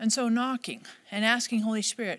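Talking at a fairly quick pace, a woman uses a fairly high pitch and fairly bright tone with ordinary pitch variation.

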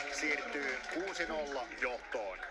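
Noticeable background noise fills the recording. The male speaker's intonation is lively. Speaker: play-by-play commentator. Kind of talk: live sports commentary. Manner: rising, emphatic calls on touchdowns.

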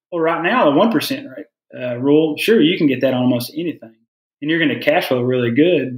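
A man talking very fast, his pitch fairly high and his intonation lively. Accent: Southern US. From US South. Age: 30s. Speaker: pharmacist. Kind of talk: casual chat.

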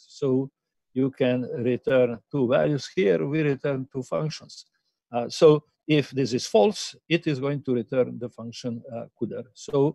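The tone is dark and mellow, with ordinary pitch variation. The sound is dry with no echo, and the background is quiet. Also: man. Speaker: university lecturer. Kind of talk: lecture. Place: home room. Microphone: webcam.

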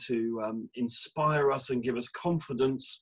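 Fairly even intonation marks this man's speech in an English accent. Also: quiet background. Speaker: church minister. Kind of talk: casual chat and prayer. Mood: warm, cheerful. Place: home room. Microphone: video call.

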